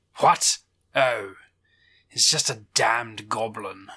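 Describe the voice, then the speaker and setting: In a put-on character voice, a man speaks raspily at a very slow pace with medium pitch. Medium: actual play. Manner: sardonic, imperious.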